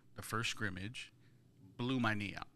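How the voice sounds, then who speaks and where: A man speaks with a bright, sharp tone at fairly low pitch. Room echo is audible. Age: 40s. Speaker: pastor and podcast co-host. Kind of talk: casual chat.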